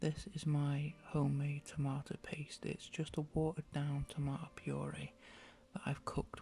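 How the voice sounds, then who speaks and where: With an English accent, a soft-spoken man talks at a moderate pace in a relaxed, somewhat breathy tone, his fairly high pitch held in a monotone, flat intonation. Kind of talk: ASMR cooking tutorial. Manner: casual, relaxed.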